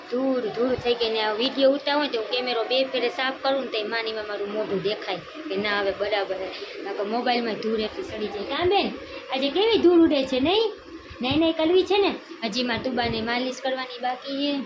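A woman speaks at a high pitch with lively intonation, with audible room echo and noticeable background noise. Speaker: family vlogger and mother. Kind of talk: baby talk to infant while vlogging. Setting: at home, windy dusty day.

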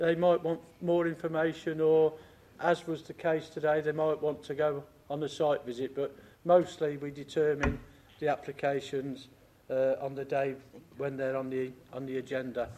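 Here a man speaks at a moderate pace. His intonation is monotone and flat. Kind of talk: formal meeting procedure explanation. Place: hall. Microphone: podium.

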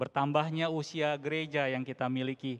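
A man's fairly high, monotone, flat voice at a moderate pace over a quiet background. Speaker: Buddhist religious leader. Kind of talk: formal speech. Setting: church with audience. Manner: formal. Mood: warm, hopeful. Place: church. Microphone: handheld.

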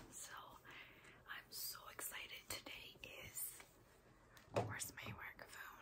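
A woman whispers at a very slow pace with long, frequent pauses. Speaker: ASMR creator. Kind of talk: ASMR haul talk to camera. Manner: whispered, soft-spoken. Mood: excited. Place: home room. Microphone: phone near.

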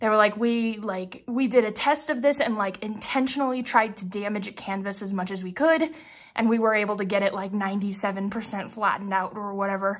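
A woman talks at a moderate pace in a medium pitch with ordinary pitch variation while music plays in the background. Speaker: diamond painting craft YouTuber. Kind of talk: casual unboxing vlog. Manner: animated.

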